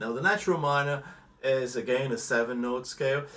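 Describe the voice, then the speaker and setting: Fairly quick delivery with audible room echo. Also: man. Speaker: guitar teacher. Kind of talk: tutorial.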